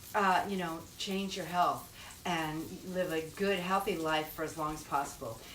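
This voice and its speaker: A woman talks at a moderate pace. Noticeable background noise and audible room echo are present. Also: ordinary pitch variation. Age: 60s. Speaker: cooking show host. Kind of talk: cooking tutorial. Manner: casual, chatty.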